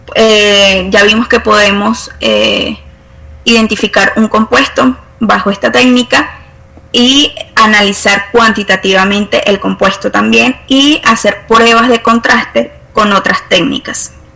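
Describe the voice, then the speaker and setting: Very slow speech at a very even loudness, with noticeable background noise. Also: woman. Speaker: university chemistry lecturer. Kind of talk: online lecture. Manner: halting, many fillers.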